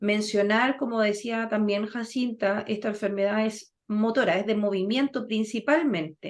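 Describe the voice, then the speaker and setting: A woman speaks in an ordinary speaking voice at a fairly slow pace, her fairly high pitch held to a fairly even intonation with hardly any pauses against a quiet background. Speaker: physiotherapist running a senior health workshop. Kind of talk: online health workshop talk.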